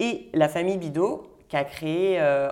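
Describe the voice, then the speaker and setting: A woman's fairly low-pitched voice, an ordinary speaking voice with ordinary pitch variation. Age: 30s. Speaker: winemaker. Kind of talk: interview.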